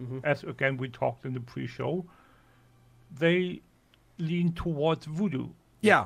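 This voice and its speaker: A somewhat breathy man with a German accent, fairly high in pitch, talking at a fairly slow pace with ordinary pitch variation and long, frequent pauses. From German-speaking Europe. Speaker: podcaster and add-on expert. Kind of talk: casual chat. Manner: halting, repeats words.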